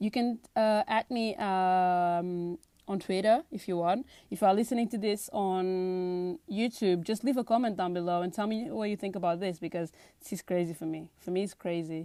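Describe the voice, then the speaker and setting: Recorded very cleanly over a silent background, a woman with a medium pitch and a dark, mellow tone speaks at a moderate pace with ordinary pitch variation. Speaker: podcast host. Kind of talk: solo podcast monologue. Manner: animated.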